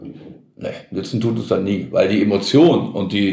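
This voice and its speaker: Audible room echo surrounds a man whose fairly low voice has lively intonation. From Gelsenkirchen, Ruhr area, Germany. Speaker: sports TV presenter. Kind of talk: casual chat.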